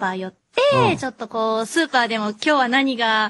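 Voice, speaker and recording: Against a quiet background, a woman talks at a moderate pace and a fairly high pitch in an unremarkable speaking voice. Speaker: voice actor. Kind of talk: casual radio talk. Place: studio.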